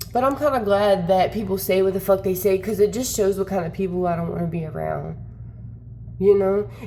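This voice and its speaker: Over noticeable background noise, a woman talks at a fairly quick pace with a medium pitch, ordinary pitch variation and an animated tone. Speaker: content creator. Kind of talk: casual vlog rant. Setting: wearing headphones.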